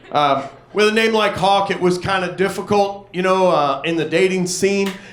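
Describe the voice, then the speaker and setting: A man speaks at a moderate pace with a high pitch and fairly even intonation. Noticeable background noise sits behind him. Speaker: stand-up comedian. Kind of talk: stand-up comedy set to a live audience. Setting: live comedy club. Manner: casual, conversational storytelling.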